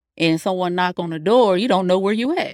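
Talking at a fairly quick pace, a woman uses a normal speaking voice at medium pitch with an American accent. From North Carolina. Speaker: truck driver, owner-operator. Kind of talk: casual interview.

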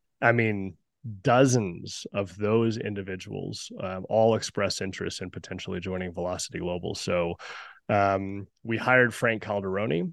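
With an American accent and an ordinary speaking voice, a man talks at a moderate pace and fairly low pitch, with ordinary pitch variation against a quiet background. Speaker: company founder and executive. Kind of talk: casual interview. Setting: video call.

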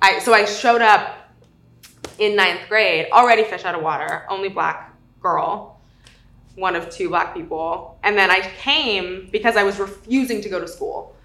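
A woman speaks with an American accent. Her loudness swings widely, and the room echo is audible. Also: medium pitch for a woman, ordinary pitch variation, moderate pace. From South Lake Tahoe, California. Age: 20s. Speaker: podcast interviewee. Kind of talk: personal testimony interview. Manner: casual, filler-heavy.

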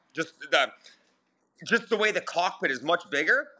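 In an Ontario accent, a man speaks with a bright, sharp tone. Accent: Canadian (Ontario). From southern Ontario, Canada. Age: 40s. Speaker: sprint car driver and chassis builder. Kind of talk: casual interview.

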